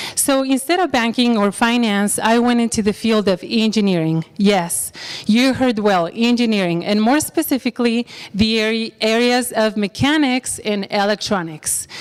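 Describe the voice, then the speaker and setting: Against noticeable background noise, a woman with a Spanish accent talks at a moderate pace in a fairly high pitch, with ordinary pitch variation and very even loudness. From Mexico. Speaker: bank employee. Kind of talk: career talk.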